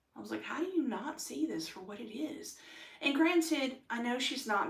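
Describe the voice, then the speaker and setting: A woman with an American accent speaks amid audible room echo. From United States. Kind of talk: personal testimony monologue. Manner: loud when excited; animated, many fillers.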